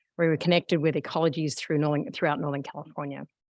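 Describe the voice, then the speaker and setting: A woman's very deep, low pitch with a slight Australian accent, monotone and flat in intonation, in a dry, close sound with no echo. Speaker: meeting facilitator. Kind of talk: public meeting. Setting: in-person meeting room. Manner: halting, many fillers.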